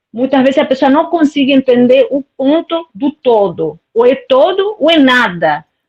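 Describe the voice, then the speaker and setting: A woman with a Spanish accent talks at a fairly slow pace in a high pitch, her pitch swinging very widely while her loudness stays very even, in a dry, close sound with no echo. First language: Spanish (speaking Portuguese). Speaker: live stream participant. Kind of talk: casual chat. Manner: halting.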